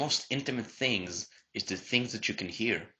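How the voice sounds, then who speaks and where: With a non-native accent, a man speaks at a moderate pace in a bright, sharp tone. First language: not English. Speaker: podcast co-host. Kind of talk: casual chat.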